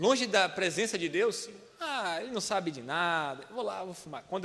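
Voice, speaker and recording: With audible room echo, a man talks at a moderate pace in a high pitch, his pitch varying in an ordinary way. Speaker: preacher. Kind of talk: sermon. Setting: church.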